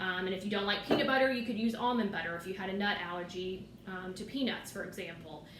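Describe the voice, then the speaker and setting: Words come at a very fast pace with hardly any pauses, over noticeable background noise and audible room echo. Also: woman, medium pitch for a woman, ordinary pitch variation. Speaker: occupational therapy assistant student. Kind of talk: tutorial. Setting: home kitchen.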